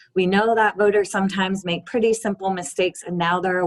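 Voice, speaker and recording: At a medium pitch and a fairly quick pace, a woman speaks in a plain, everyday voice with ordinary pitch variation. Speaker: voting rights advocate. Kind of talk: webinar presentation. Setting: video call.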